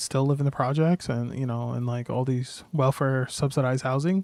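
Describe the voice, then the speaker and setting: A man of medium pitch mumbles at a fairly quick pace, the sound dry and close with no echo over a quiet background. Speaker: video game streamer. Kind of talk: casual livestream chat. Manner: mumbling; halting.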